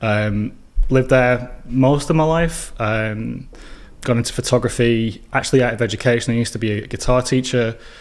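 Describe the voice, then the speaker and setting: A man with a northern English accent at a medium pitch, at a moderate pace with fairly even intonation. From northern England, Burnley near Manchester. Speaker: filmmaker and educator. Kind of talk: podcast interview.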